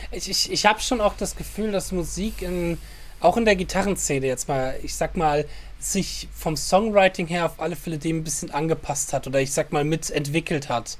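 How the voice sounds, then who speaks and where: This is a normal speaking voice at a moderate pace. The pitch varies in an ordinary way. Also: man, fairly high pitch for a man. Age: 30s. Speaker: podcast host and guitar teacher. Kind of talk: casual chat.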